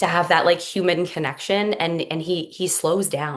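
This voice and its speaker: With a Canadian accent and a normal speaking voice, a woman talks at a fairly slow pace and fairly low pitch, with ordinary pitch variation. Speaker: hypnotist and mother. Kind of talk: podcast interview.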